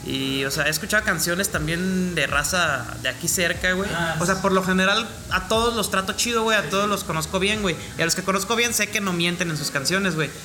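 A man with a Mexican accent talks fairly quickly in a high, raised and projected voice with ordinary pitch variation. Noticeable background noise and audible room echo are present. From Mexico. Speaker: rapper. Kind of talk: casual chat.

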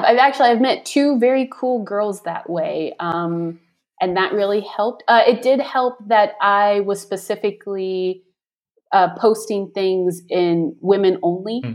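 A woman with an American accent talks in a plain, everyday voice at medium pitch, with ordinary pitch variation and a fairly slow pace. The recording is very clean, with a silent background. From US South. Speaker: expat. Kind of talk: interview.

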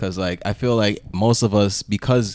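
Fairly even intonation at a moderate pace. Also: man. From Toronto, Canada. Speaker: podcast host. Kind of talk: casual chat.

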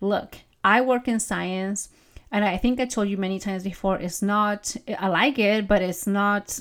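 A woman speaks in an animated tone with a non-native accent at a fairly slow pace, on a very clean recording with a silent background. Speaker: podcast host and mindset coach. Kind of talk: solo podcast monologue, conversational. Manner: animated, laughs often.

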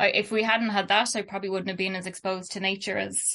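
Against a quiet background, a woman with a Dublin accent has a bright, sharp tone. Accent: Dublin Irish. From Ireland, Dublin. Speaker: artist and illustrator. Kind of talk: casual interview.

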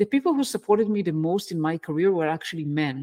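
A woman's lively intonation on a very clean recording with a silent background, dry and close with no echo. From Israel. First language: Hebrew. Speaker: engineering management coach. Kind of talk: interview.

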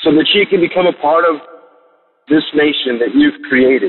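A man talks at a fairly slow pace. His voice is fairly high in pitch. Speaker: caller. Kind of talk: prayer. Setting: phone call.

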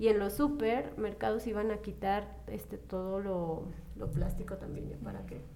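Over noticeable background noise and audible room echo, a woman speaks at a fairly slow pace with big swings in loudness. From Zacatecas, Mexico. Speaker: podcast guest. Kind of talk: casual chat.

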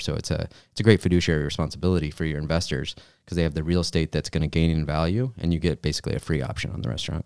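A very deep, low male voice with vocal fry at a very fast pace, in a very clean recording with a silent background. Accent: American. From Michigan. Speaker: fund manager. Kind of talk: casual chat.

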